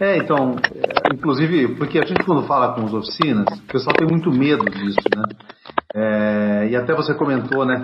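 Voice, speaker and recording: A man at medium pitch, with lively intonation and a moderate pace, over noticeable background noise. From Brazil, Campinas (São Paulo interior). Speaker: podcast host. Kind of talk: casual interview chat. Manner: informal, slangy.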